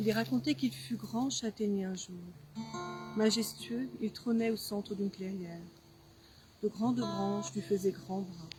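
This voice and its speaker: With music in the background, a woman speaks at a fairly slow pace and medium pitch, her voice making very wide pitch swings between long, frequent pauses. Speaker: writer. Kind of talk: poetry reading. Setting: outdoors.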